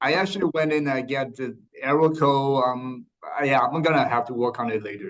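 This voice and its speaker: At a moderate pace, a man with a Mandarin accent speaks at a fairly high pitch with ordinary pitch variation. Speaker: sales manager. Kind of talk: video call introduction. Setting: video call. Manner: hesitant, many fillers.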